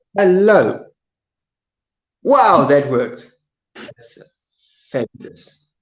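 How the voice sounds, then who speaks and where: This man speaks very slowly, with long, frequent pauses, in a South African accent. His high pitch swings very widely. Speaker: live streamer. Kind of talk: casual live stream chat. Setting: live stream from phone. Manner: halting, repetitive.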